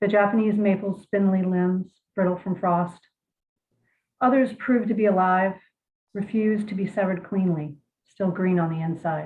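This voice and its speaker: A woman with an American accent speaks at medium pitch and a moderate pace, somewhat breathy and fairly even in intonation, with long, frequent pauses. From Virginia. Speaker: poet. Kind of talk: interview and poetry reading. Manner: hesitant, many fillers.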